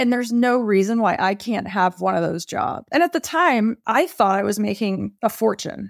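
A woman with an unremarkable speaking voice and an American accent talks at a moderate pace with hardly any pauses, fairly high in pitch with lively intonation. The recording is very clean, with a silent background and a dry, close sound with no echo. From Texas. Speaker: bank executive and bitcoin expert. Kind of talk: interview.

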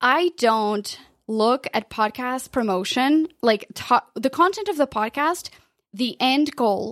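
Speaking very slowly with a Portuguese accent, a woman uses a high pitch and lively intonation. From Portugal. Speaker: podcast consultant. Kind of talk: interview. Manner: animated.

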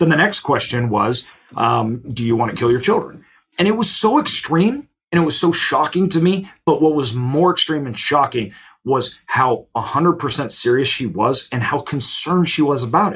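A man's ordinary speaking voice, fairly high in pitch, with lively intonation and a moderate pace. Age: 30s. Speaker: self-storage investor and CEO. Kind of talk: interview.

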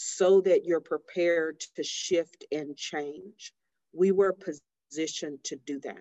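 A woman's a normal speaking voice, fairly low in pitch, at a fairly slow pace with fairly even intonation. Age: 40s. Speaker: inventor and business owner. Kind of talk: interview.

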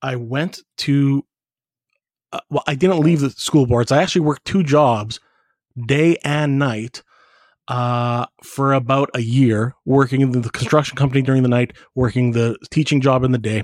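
With a Canadian accent, a normal speaking voice moves at a moderate pace with fairly even intonation and a dry, close sound with no echo. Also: man, medium pitch for a man. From Edmonton, Alberta, Canada. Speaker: foundation director and marketing expert. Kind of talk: interview.

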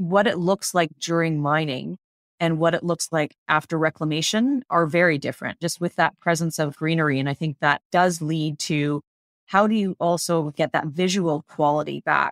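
A normal speaking voice with a Canadian accent talks at a moderate pace. The intonation is fairly even and the sound is dry and close with no echo. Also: woman, fairly low pitch for a woman. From British Columbia, Canada. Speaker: mining company environment director. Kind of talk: interview.

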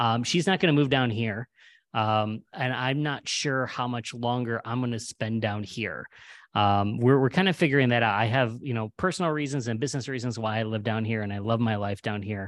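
A man's unremarkable speaking voice, medium in pitch, at a moderate pace with ordinary pitch variation over a quiet background. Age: 40s. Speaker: humorist. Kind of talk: casual chat.

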